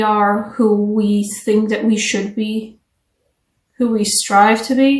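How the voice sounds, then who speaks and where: A somewhat breathy woman's voice, fairly high in pitch, at a very slow pace, with audible room echo. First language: not English. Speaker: tarot reader. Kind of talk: tarot reading. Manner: casual, conversational.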